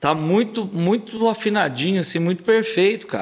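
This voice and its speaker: A man speaks at a fairly quick pace. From Brazil, Paraguaçu (Minas Gerais). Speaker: sertanejo singer. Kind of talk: casual interview chat.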